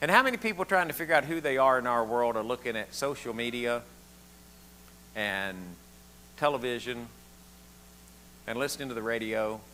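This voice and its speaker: A man with a Southern US accent talks at a fairly quick pace and medium pitch, with long, frequent pauses. His tone is animated, bright and sharp. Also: ordinary pitch variation. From US South. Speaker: pastor. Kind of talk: sermon.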